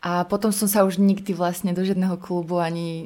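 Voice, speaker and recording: A woman's medium-pitched voice, monotone and flat, at a fairly quick pace. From Slovakia, Prievidza. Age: 30s. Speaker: poet and radio presenter. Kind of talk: casual interview.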